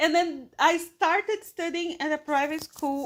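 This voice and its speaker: A woman talks with a Portuguese accent. The recording is very clean, with a silent background. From Brazil (São Paulo, Pernambuco family). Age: 30s. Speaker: English teacher. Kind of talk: casual podcast monologue for English learners. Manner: slow, clear with hesitations.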